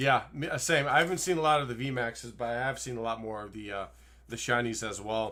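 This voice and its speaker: At a fairly quick pace, a man with a bright, sharp tone and medium pitch speaks with ordinary pitch variation and big swings in loudness. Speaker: YouTube Pokemon card collector and podcast host. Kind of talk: casual chat while opening card packs. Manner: fast, sometimes slurred.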